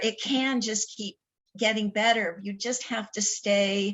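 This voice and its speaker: A woman with an ordinary speaking voice talks slowly-ish, at fairly high pitch, with fairly even intonation. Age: 60s. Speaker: talk show host. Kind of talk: casual chat.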